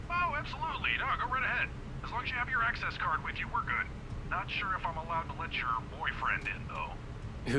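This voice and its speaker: Over loud background noise, a man puts on a gruff character voice and talks at a fairly quick pace. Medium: solo performance. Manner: friendly, chatty.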